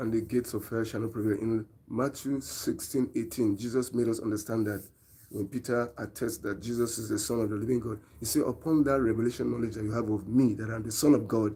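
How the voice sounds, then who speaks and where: At a fairly quick pace, a man with a Nigerian accent speaks in a medium pitch and a monotone, flat intonation, his dark, mellow tone somewhat breathy. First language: Nigerian language. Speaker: preacher. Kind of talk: live-stream sermon.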